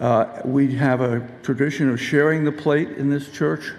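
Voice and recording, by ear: At a moderate pace, a man speaks at medium pitch with a slightly mellow tone and some vocal fry.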